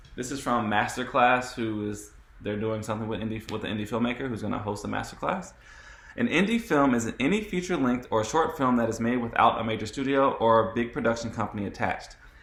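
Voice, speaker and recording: A man talks at a very fast pace with ordinary pitch variation, and audible room echo surrounds his voice. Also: medium pitch for a man. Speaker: panel moderator. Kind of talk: moderated panel discussion.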